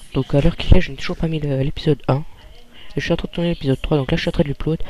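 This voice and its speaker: Quietly, a man with a fairly high pitch speaks with fairly even intonation. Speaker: gaming youtuber. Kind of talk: let's play commentary. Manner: quiet, calm; hesitant, many fillers. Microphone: too quiet.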